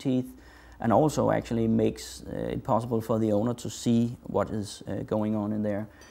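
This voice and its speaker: At a moderate pace, the speaker talks in a dark, mellow tone. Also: man. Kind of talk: tutorial.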